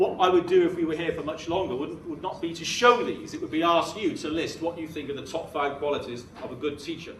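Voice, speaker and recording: A man with a British accent speaks in a high pitch with ordinary pitch variation, amid noticeable background noise and audible room echo. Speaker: education consultant giving a talk to teachers. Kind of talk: conference presentation. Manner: animated.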